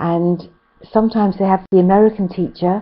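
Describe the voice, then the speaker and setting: A woman in a British accent, with fairly even intonation. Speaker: English teacher. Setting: online class.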